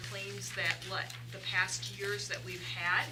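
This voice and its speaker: The speech moves at a fairly slow pace. Audible room echo and noticeable background noise fill the clip. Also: woman. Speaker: staff member presenting insurance rates. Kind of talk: board meeting presentation. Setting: meeting room with microphone. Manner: loud.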